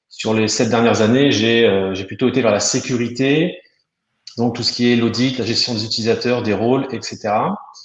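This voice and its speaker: Medium pitch and fairly even intonation in a man's voice. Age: 30s. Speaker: software customer success manager. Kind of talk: webinar presentation. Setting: online webinar. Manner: hesitant, many fillers.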